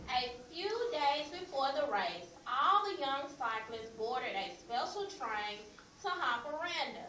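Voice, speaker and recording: Over noticeable background noise, a woman talks at a very slow pace in a raised, projected voice. Her pitch is high, with lively intonation. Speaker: classroom teacher. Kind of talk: reading a picture book aloud to a class.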